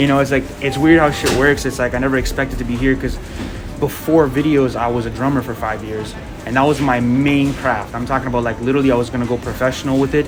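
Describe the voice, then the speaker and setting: Over music in the background, a man with a non-native accent talks at a very fast pace in a monotone, flat voice of medium pitch. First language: not English. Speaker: media brand founder. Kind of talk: casual interview.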